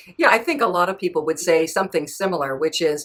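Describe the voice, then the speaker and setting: A woman with a normal speaking voice talks at a fairly low pitch, her intonation lively. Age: 60s. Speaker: author and podcast host. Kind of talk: interview.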